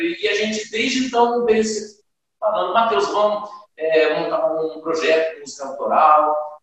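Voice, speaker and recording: A man talks at a moderate pace in a high pitch. Room echo is audible in the recording. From Brazil, Silveiras (São Paulo state). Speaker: band leader, singer and guitarist. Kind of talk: interview.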